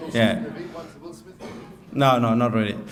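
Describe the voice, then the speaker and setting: Noticeable background noise and audible room echo surround a man speaking with ordinary pitch variation. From France. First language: French. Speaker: groom. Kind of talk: wedding speech. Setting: wedding reception with audience. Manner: halting, many fillers.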